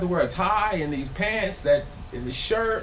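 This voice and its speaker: Noticeable background noise and audible room echo surround the recording. A man speaks at a high pitch with an American accent. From Los Angeles. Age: 40s. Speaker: filmmaker and former musician speaking on stage. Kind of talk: live talk to an audience. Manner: casual, repetitive and halting.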